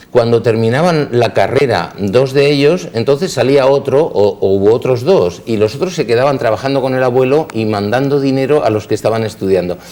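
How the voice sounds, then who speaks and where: A man with a medium-pitched voice speaks at a fairly quick pace with hardly any pauses and ordinary pitch variation. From Spain, Elche (Valencian Community). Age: 60s. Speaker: dentist. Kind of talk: interview. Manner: halting, with repetitions.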